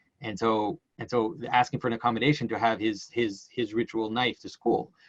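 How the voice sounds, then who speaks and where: With a medium pitch and fairly even intonation, a man speaks at a fairly quick pace in a dry, close sound with no echo. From Quebec, Canada. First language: French. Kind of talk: casual conversation. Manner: halting, many repetitions.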